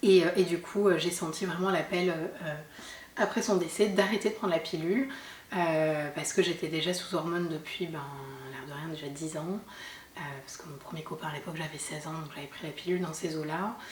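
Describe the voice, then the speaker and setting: A woman with a fairly low pitch and ordinary pitch variation talks at a fairly quick pace. She leaves long, frequent pauses, and the room echo is audible. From southern France, Sète (Hérault). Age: 30s. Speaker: mother sharing her story. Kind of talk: testimony interview. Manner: hesitant, many fillers.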